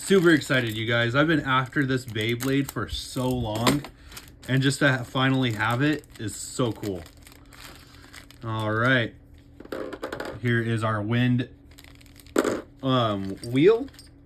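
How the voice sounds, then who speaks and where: A mumbling man at medium pitch, very slow, with long, frequent pauses over noticeable background noise. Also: ordinary pitch variation. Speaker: YouTuber, toy collector. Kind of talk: unboxing video.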